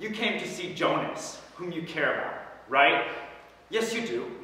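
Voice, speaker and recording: A man speaks with lively intonation in a room with strong echo and light background noise. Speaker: actor performing audition monologue. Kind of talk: dramatic monologue. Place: hall. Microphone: camera far.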